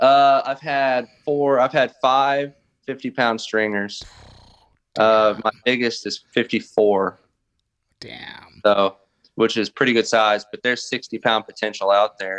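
With a Southern US accent, a man speaks at a medium pitch and a very slow pace. His intonation is fairly even, and the sound is dry and close with no echo. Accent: US South. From southern Arkansas. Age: 30s. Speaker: bass and crappie angler. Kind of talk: casual chat.

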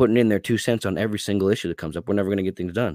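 A man speaks in a very deep, low pitch. The recording is very clean with a silent background and a dry, close sound with no echo. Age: 30s. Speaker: attorney and party candidate. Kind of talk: casual interview. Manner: halting with fillers.

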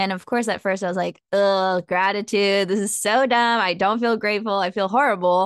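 With a Californian accent, a woman speaks at a medium pitch and a moderate pace, her intonation fairly even, recorded dry and close with no echo against a quiet background. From Southern California. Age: 20s. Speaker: self-help author and coach. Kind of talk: casual interview.

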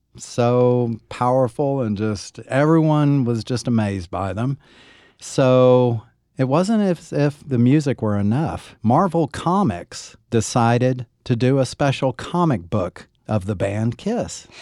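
A dark, mellow voice with an American accent and lively intonation moves at a very slow pace. The recording is very clean, with a silent background and a dry, close sound with no echo. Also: man, medium pitch for a man. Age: 50s. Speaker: podcast host, musician. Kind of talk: casual chat.

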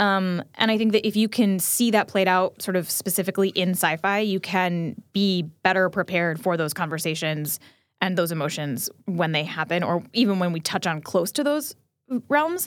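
A woman speaks in an American accent at a moderate pace, medium in pitch, in an ordinary speaking voice. Her pitch varies in an ordinary way, and the recording is very clean with a silent background. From New Jersey. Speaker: podcast producer and host. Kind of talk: casual chat.

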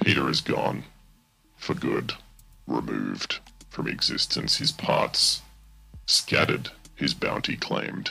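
Over music in the background, a man in a put-on character voice speaks at a fairly slow pace with long, frequent pauses. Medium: actual play. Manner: formal, measured, no contractions.

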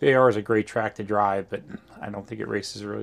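A man's normal speaking voice with an American accent, fairly low in pitch, at a fairly quick pace. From New Jersey. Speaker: racing driver and team owner. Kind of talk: interview. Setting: at a racetrack.

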